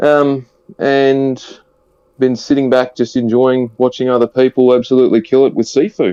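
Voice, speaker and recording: A man with an Australian accent speaks at a moderate pace and a medium pitch. The sound is dry and close with no echo, and music plays in the background. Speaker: podcast panelist. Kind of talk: casual chat.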